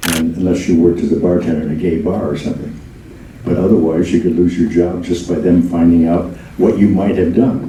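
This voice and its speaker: Over noticeable background noise and audible room echo, a man talks at a moderate pace in a very deep, low pitch. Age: 90s. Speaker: memoirist. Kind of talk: Q&A talkback. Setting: stage with audience.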